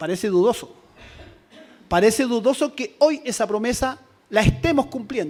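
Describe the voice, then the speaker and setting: A man's extremely high-pitched voice with lively intonation and long, frequent pauses. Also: moderate pace. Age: 60s. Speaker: teachers' union leader. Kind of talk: conference speech.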